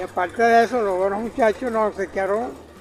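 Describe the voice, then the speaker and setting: Noticeable background noise surrounds a man with a high pitch. He keeps a moderate pace with fairly even intonation. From Venezuela, llanos (plains). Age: 80s+. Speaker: customer. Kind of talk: casual interview.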